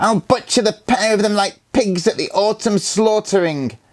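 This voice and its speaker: Using a put-on character voice, a man speaks at a moderate pace in a high pitch with a hissing sound. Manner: hissing, venomous.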